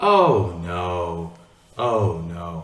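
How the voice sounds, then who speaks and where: Using a put-on character voice, a man speaks very deep and low with fairly even intonation and a slight echo. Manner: sarcastic, narcissistic.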